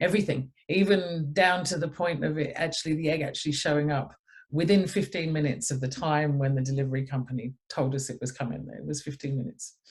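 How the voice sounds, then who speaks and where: A somewhat breathy woman with an English accent and a very deep, low pitch, against a quiet background. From England. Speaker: energy healing center owner. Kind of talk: interview.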